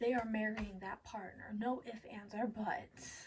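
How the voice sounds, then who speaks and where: Soft-spoken delivery at a fairly slow pace. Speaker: animation commentary youtuber. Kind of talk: casual video commentary.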